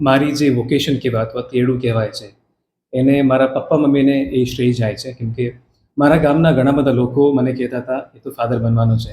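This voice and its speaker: A somewhat breathy man with a Karnataka accent, a dark, mellow tone, monotone, flat intonation and big swings in loudness. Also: medium pitch for a man. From Karnataka, India (Hassan district village). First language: Kannada (speaking Gujarati). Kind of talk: interview.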